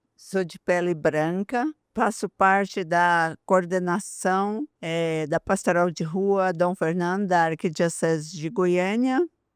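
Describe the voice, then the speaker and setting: In a very clean recording with a silent background and a dry, close sound with no echo, a woman talks at a very slow pace with hardly any pauses and ordinary pitch variation. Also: fairly low pitch for a woman. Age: 60s. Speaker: pastoral coordinator. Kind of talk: podcast interview.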